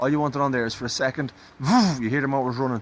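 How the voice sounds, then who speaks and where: Here a man talks at a very fast pace. His intonation is fairly even. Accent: Dublin. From Ireland, Dublin. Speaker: classic car hobbyist. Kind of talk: tutorial.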